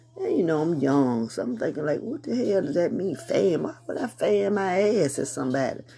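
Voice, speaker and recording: Over noticeable background noise, a woman with a very deep, low pitch talks at a moderate pace with hardly any pauses, her pitch swinging very widely. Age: 50s. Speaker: podcast host. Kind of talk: casual monologue. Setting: home prayer room with music playing.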